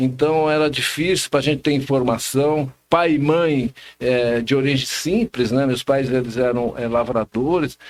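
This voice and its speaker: A man at medium pitch, fairly slow in pace, with ordinary pitch variation and an ordinary speaking voice. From São Paulo state, Brazil (Ferraz de Vasconcelos, São Paulo metro area). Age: 60s. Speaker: social scientist and political marketing specialist. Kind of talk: casual interview chat.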